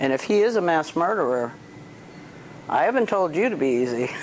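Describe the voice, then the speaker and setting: A woman at a moderate pace, very wide pitch swings, noticeable background noise behind her. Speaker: dog trainer. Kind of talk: outdoor training demonstration.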